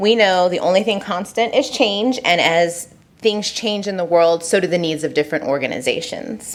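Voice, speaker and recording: A woman with a Southern California accent, medium in pitch, with lively intonation at a moderate pace. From Southern California, San Diego. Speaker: consultant. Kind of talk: presentation. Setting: council meeting. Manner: animated.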